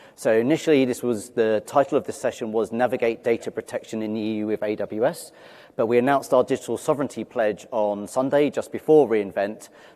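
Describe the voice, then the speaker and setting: A dark, mellow tone with a London accent, ordinary pitch variation and a very fast pace. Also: man, medium pitch for a man. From London, England. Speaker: cloud security manager, conference speaker. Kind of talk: conference talk.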